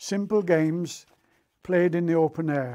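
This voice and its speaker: A man with a British accent speaks in a dark, mellow tone at a fairly high pitch, with ordinary pitch variation. The recording is very clean, with a silent background. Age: 80s+. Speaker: war veteran. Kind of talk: recorded talk for schoolchildren. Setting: recorded tape. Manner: slow; formal.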